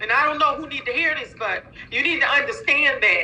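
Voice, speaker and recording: A raised, projected voice with very wide pitch swings delivers speech at a moderate pace. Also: woman. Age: 50s. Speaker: nurse and minister, sales distributor. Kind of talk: testimony. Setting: online live call. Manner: animated.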